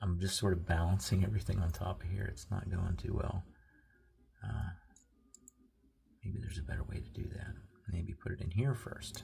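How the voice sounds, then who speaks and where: A soft-spoken man with a very deep, low pitch speaks at a moderate pace with ordinary pitch variation and long, frequent pauses, against noticeable background noise. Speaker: product reviewer. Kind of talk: product review. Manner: casual.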